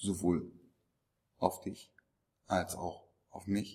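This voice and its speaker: The man's pitch is fairly low. His voice has a dark, mellow tone. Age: 40s. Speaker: actor and speaker on body language. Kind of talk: interview. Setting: conference event.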